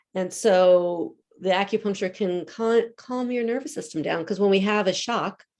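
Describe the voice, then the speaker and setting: A woman with an American accent speaks in a normal speaking voice at a moderate pace, her medium pitch moving with ordinary variation. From US Northeast, Philadelphia. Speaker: acupuncturist. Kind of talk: community talk, Q&A.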